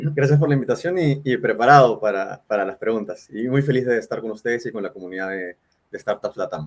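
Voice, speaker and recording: A man speaks in a Peruvian accent at a medium pitch. His pace is fairly quick and his intonation lively. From Peru, Lima. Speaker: startup founder and CEO. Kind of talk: live interview. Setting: livestream.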